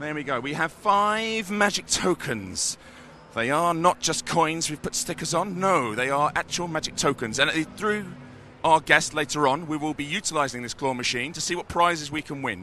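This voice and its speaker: A man with a British accent and a fairly high voice, lively intonation and a moderate pace. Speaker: community manager hosting a live stream. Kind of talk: live stream walkthrough. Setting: trade show floor. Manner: animated.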